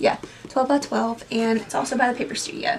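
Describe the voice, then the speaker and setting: A woman with a high pitch, ordinary pitch variation and a moderate pace, over noticeable background noise. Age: 20s. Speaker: booktuber vlogger. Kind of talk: casual vlog, product show-and-tell. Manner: casual, filler-heavy.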